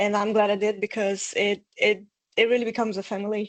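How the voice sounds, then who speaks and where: A woman of medium pitch with a Portuguese accent speaks at a moderate pace over a quiet background. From Brazil. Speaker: bootcamp graduate. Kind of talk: testimony. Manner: hesitant, many fillers.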